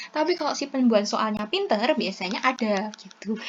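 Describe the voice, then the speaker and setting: Over noticeable background noise, a woman talks at a fairly quick pace. Her fairly high pitch carries lively intonation. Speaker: pharmacist tutor. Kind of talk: tutorial. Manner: halting; casual.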